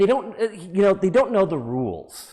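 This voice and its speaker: Loud and high-pitched, a man speaks in an American accent. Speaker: preacher. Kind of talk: sermon.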